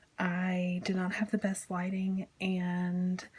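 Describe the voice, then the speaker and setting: Soft-spoken and somewhat breathy, a woman talks at a very slow pace in a medium pitch. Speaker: crafting video creator. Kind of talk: tutorial. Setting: home kitchen.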